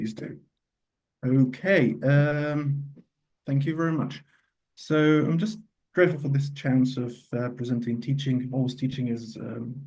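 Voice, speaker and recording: At a fairly slow pace, a man with a medium-pitched, somewhat breathy voice speaks with ordinary pitch variation and long, frequent pauses, with room echo audible. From Egypt. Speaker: radiologist and teacher. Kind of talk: lecture.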